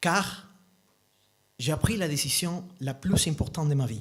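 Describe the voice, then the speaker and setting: The speaker talks very slowly and somewhat breathily, with lively intonation and a slight non-native accent. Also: man. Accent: slight foreign accent in French. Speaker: storyteller. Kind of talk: live storytelling talk. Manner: halting.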